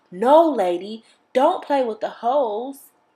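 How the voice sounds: In a put-on character voice that sounds female, the speaker uses a stern tone at a high pitch. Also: fairly slow pace.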